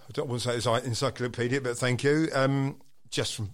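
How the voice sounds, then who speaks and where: A man with an Essex accent at a fairly quick pace. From Southend, Essex, England. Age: 50s. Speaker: percussionist and DJ. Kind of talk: casual interview chat.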